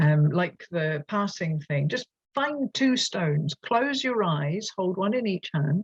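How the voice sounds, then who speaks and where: The speaker talks with a Scottish accent. The pace is very slow. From Scotland. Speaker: teacher trainer. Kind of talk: online workshop presentation. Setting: at a desk, online. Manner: animated.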